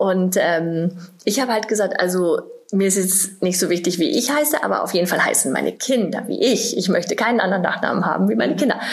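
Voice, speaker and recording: Against noticeable background noise and audible room echo, a woman speaks very fast at medium pitch with lively intonation and very even loudness. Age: 40s. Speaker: bride. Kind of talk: casual chat.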